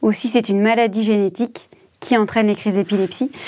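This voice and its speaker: At a fairly quick pace, a woman with a medium pitch and a dark, mellow tone speaks with fairly even intonation. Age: 30s. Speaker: caregiving mother, association employee. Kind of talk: testimony.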